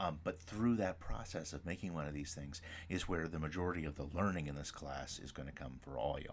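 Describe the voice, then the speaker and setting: A man speaks at a fairly quick pace in a very deep, low pitch with vocal fry and ordinary pitch variation, and audible room echo surrounds his voice. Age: 40s. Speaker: professor. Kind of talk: lecture. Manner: fast.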